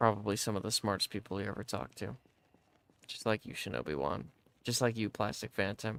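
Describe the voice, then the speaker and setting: A man talks at a fairly quick pace in a fairly low pitch, with vocal fry. The sound is dry and close, with no echo. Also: ordinary pitch variation. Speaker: gaming streamer. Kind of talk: live gameplay stream chat.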